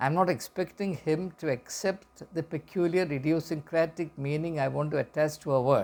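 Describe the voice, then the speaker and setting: In a Keralan accent, a man speaks fairly quickly at a fairly high pitch with lively intonation. His tone is dark and mellow, and the recording is very clean with a silent background. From India, Kerala. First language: Malayalam. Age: 60s. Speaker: educator and commentator. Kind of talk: reflective talk to camera. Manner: halting, with repetitions and fillers.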